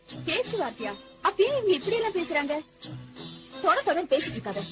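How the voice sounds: A put-on character voice with a fairly bright tone moves at a fast pace, its pitch swinging widely. Faint music plays in the background. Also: woman, extremely high pitch for a woman.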